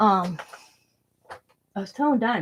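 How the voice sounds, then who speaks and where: A woman mumbles quietly at a medium pitch with lively intonation. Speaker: craft YouTuber. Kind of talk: casual live stream chat. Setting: home live stream with camera. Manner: mumbling, trails off quieter; talkative, rambling.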